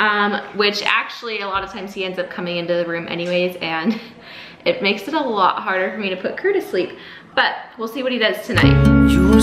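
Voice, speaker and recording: A woman talks at a fairly quick pace. Room echo is audible, along with light background noise. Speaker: parent vlogger. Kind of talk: casual vlog chat. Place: kitchen. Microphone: phone near.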